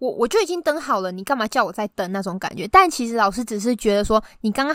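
The speech comes at a very fast pace with ordinary pitch variation, the sound dry and close with no echo. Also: woman. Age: 20s. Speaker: podcast guest. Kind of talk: casual chat. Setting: remote recording.

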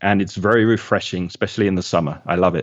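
A man speaks with a London accent and ordinary pitch variation. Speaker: English teacher. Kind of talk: interview.

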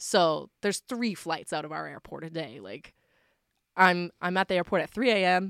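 Using vocal fry and lively intonation, a woman speaks at a fairly low pitch in a very clean recording with a silent background and a dry, close sound with no echo. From Nova Scotia, Canada. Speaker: singer-songwriter. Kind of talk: casual interview chat.

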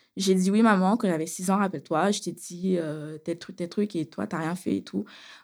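Recorded very cleanly over a silent background, a woman talks at a moderate pace. Her pitch is medium, with ordinary variation. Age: 30s. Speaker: beautician, abuse survivor. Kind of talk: testimony. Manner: casual, with hesitations.

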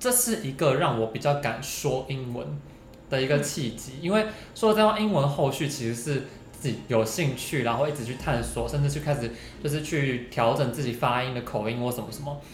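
Speaking at a fairly quick pace, a man with a medium pitch and ordinary pitch variation is heard over noticeable background noise and audible room echo. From Taiwan, Hsinchu. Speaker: podcast co-host. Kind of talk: casual chat.

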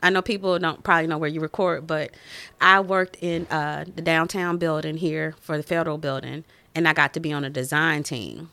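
A woman with a Southern US accent speaks at a fairly quick pace with fairly even intonation, her very deep, low pitch paired with a bright, sharp tone. The recording is very clean, with a silent background. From Winston-Salem, North Carolina. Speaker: engineer turned stay-at-home mom, school board candidate. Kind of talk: casual interview chat.

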